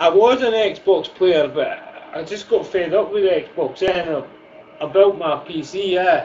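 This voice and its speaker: A man with a high pitch, fairly slow pace and ordinary pitch variation, over noticeable background noise. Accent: strong Scottish. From Scotland, Fife (Glenrothes). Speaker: gaming streamer. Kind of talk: casual chat.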